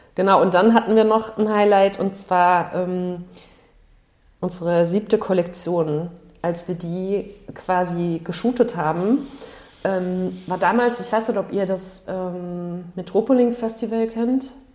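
A woman at a very slow pace, medium pitch and ordinary pitch variation. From Palatinate, Germany (Ludwigshafen). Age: 40s. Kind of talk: casual interview.

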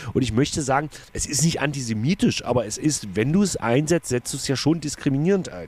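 With a plain, everyday voice, a man talks at a fairly quick pace in a fairly high pitch, his intonation lively. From Saxony-Anhalt, Magdeburg. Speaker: cabaret artist, podcast co-host. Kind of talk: casual chat.

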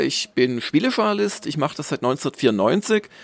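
A man at a moderate pace, very wide pitch swings, in a dry, close sound with no echo. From southern Germany (Swabia). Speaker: games journalist and magazine publisher. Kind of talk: casual interview.

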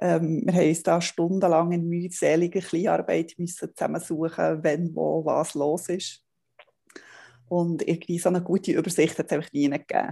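The woman's voice is dark and mellow, fairly low in pitch. She speaks at a fairly quick pace in a flat monotone. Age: 40s. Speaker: family blogger. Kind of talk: interview.

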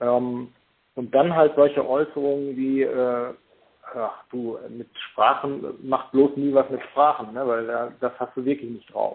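A man speaks very slowly at a medium pitch in a monotone, flat delivery. His loudness swings widely. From Germany, Paderborn area (East Westphalia). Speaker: hypnotherapist and lecturer. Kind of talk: interview. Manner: hesitant, many fillers.

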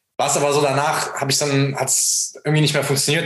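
A man talks very fast at a fairly high pitch. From Germany, near Frankfurt. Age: 20s. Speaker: dropshipping entrepreneur. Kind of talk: casual interview, personal story.

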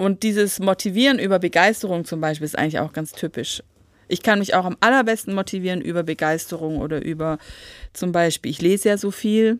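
Over a very clean recording with a silent background, a woman uses an ordinary speaking voice at a medium pitch, fairly quick in pace with ordinary pitch variation. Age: 40s. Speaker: podcast co-host, school support worker. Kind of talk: casual chat.

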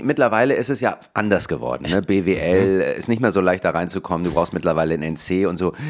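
A man's animated, very fast delivery with very wide pitch swings. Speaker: comedian and podcast co-host. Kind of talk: casual chat.

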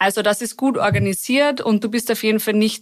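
A woman with a plain, everyday voice speaks at a fairly high pitch with ordinary pitch variation. The recording is very clean, with a silent background. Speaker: expat graduate. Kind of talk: casual chat. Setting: studio.

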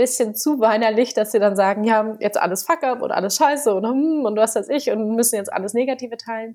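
Speaking at a fairly quick pace with hardly any pauses, a woman has a dark, mellow tone, a fairly high pitch and ordinary pitch variation. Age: 20s. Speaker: startup founder and author. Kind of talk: podcast interview.

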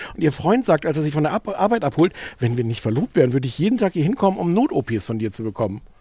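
A man's very fast, somewhat breathy voice at a fairly high pitch, dark and mellow in tone, with very wide pitch swings and a dry, close sound free of echo. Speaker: podcast co-host. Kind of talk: casual chat. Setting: outdoors.

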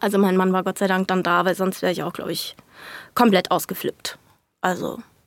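A woman at a medium pitch speaks at a fairly quick pace. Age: 20s. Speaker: young mother. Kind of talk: casual interview. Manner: animated.

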